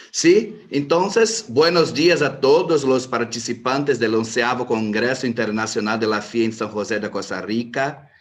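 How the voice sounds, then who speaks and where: Speaking with a Brazilian accent, a man moves at a fairly slow pace with hardly any pauses. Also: medium pitch for a man, ordinary pitch variation. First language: Portuguese (speaking Spanish). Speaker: lawyer. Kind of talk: panel talk. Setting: video call.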